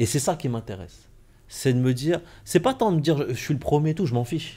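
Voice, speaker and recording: This man has a dark, mellow tone. He talks at a fairly quick pace with lively intonation. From France, Compiègne. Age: 40s. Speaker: entrepreneur and mentor. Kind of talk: casual interview. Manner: halting.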